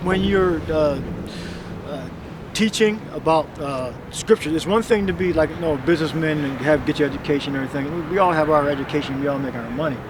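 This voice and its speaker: Over noticeable background noise, a man with a fairly high pitch and ordinary pitch variation talks at a fairly quick pace. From Philadelphia, Logan area. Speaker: street preacher. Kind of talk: street preaching conversation.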